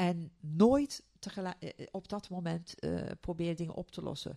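Fairly slowly, a woman speaks at a medium pitch in a dark, mellow tone with lively intonation. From Turkey. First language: Turkish (speaking Dutch). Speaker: neuroscientist and coach. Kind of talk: interview. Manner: halting.

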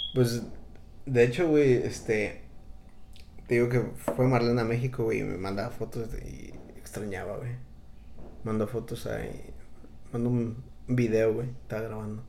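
Speaking with a Mexican accent, a man uses a dark, mellow tone at a medium pitch, fairly even intonation and a fairly slow pace, with long, frequent pauses, big swings in loudness and audible room echo. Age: 30s. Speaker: podcast host. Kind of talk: casual chat.

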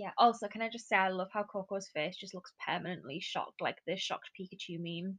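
A woman with a British accent talks at a fairly quick pace and medium pitch with hardly any pauses, fairly even intonation and big swings in loudness, the sound dry and close with no echo. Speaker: trainee primary school teacher. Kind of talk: casual chat.

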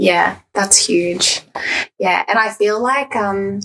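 A woman speaks in an ordinary speaking voice at medium pitch. Her pace is fairly slow, with ordinary pitch variation. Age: 20s. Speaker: podcast host. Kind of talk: casual interview chat.

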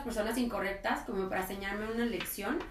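Clear background noise accompanies a woman whose voice is on the high side. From Mexico, Colima. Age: 30s. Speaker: podcast guest. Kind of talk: casual chat.

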